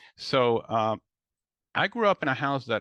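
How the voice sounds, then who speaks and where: A man's voice sounds dry and close with no echo against a quiet background. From Mexico City, Mexico. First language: Spanish and English. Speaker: professor of medicine. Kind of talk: lecture. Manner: halting.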